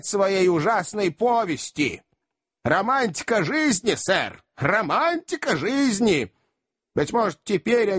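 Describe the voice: A quiet background behind plain reading aloud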